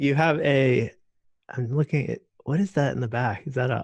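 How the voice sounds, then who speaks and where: A man's fairly high, somewhat breathy voice with an American accent, dry and close with no echo, over a quiet background. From Florida. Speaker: video creator, meetup organizer. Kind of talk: casual group chat. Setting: video call.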